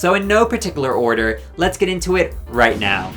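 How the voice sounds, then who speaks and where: A man keeps a fairly quick pace while noticeable background noise runs behind him. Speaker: drag race commentary youtuber. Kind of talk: casual commentary to camera.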